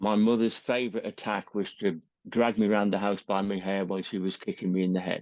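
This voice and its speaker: With a southern English accent, a man speaks at a fairly quick pace in a fairly low pitch. His intonation is monotone and flat against a quiet background. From England. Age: 60s. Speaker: retired teacher. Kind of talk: personal testimony interview.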